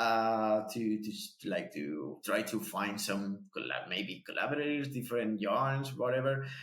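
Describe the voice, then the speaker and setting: A man with a Spanish accent talks at a fairly slow pace. His intonation is lively. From Spain. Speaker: podcast host. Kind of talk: casual chat. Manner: halting, repeats words.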